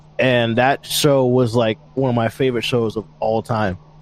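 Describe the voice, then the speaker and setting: A man speaks in a normal speaking voice at a medium pitch. His intonation stays fairly even. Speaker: band vocalist and guitarist. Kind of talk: casual interview chat.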